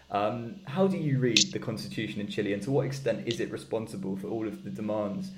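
With a British accent, a man speaks at a fairly quick pace, his pitch swinging very widely, and audible room echo surrounds him. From UK. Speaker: podcast host. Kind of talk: interview. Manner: hesitant, repeats words.

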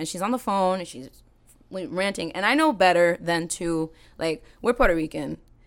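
Speech comes at a moderate pace. It is a plain, everyday voice. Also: woman, big swings in loudness, very clean recording, silent background. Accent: American. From Salem, Massachusetts. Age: 30s. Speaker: singer. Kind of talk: casual chat.

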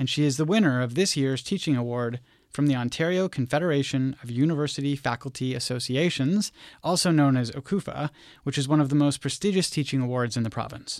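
In a very clean recording with a silent background, a man speaks very fast at a fairly high pitch with ordinary pitch variation. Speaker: podcast host. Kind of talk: interview, podcast hosting. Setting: studio.

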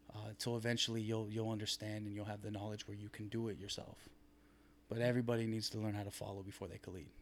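Speaking at a very fast pace, a man with an American accent keeps a flat, monotone delivery at a fairly low pitch. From Southern California (Long Beach). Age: 20s. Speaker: physique competitor. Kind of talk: casual interview.

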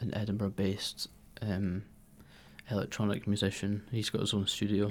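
A man talks in a Scottish accent. His pitch is fairly low. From Scotland, Fife. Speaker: musician and arts administrator. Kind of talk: casual interview.

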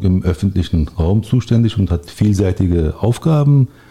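A man speaks at a fairly slow pace in a fairly low pitch, his dark, mellow tone somewhat breathy, with lively intonation. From Berlin, Germany. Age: 40s. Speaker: local politician. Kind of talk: interview.

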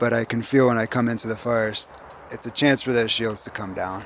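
Noticeable background noise sits behind a man whose voice is medium in pitch. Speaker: forest bathing guide. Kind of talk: interview.

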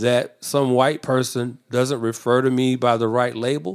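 A man with a normal speaking voice at a medium pitch and a fairly slow pace. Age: 50s. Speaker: theology student and guest. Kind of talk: interview. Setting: office.

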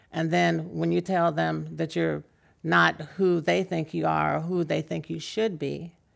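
Speaking at a fairly slow pace, a woman is heard here. The recording is very clean, with a silent background. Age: 60s. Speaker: political candidate and nurse. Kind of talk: interview. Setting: venue taping with live audience.

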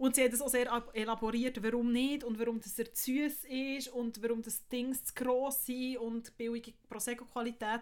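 A woman with a high pitch talks in a flat monotone at a moderate pace, with hardly any pauses. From Switzerland, Bern. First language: Swiss German (speaking German). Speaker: podcast co-host. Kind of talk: casual chat.

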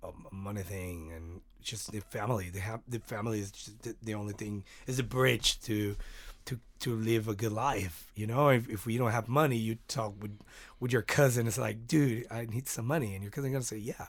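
A man with a Spanish accent speaks at a medium pitch and a moderate pace, somewhat breathy, with ordinary pitch variation and big swings in loudness. The recording is very clean, with a silent background. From Mexico, Mexicali. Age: 30s. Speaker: musician. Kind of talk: casual chat.

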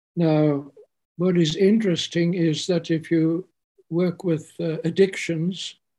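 This man talks with an English accent in a high pitch, his tone dark and mellow and his intonation fairly even. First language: English (speaking German). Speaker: spiritual teacher; homeopath. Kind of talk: spiritual talk. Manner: halting.

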